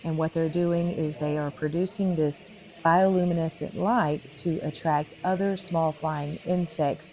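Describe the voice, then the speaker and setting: A woman's very deep, low voice with a dark, mellow tone and ordinary pitch variation, at a fairly slow pace with light background noise. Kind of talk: explanatory commentary. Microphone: phone near.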